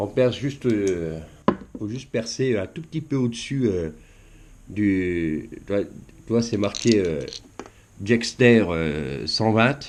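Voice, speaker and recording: A man's fairly low voice with lively intonation, a very slow pace, and long, frequent pauses. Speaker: fishing YouTuber. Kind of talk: tutorial. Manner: halting, many fillers.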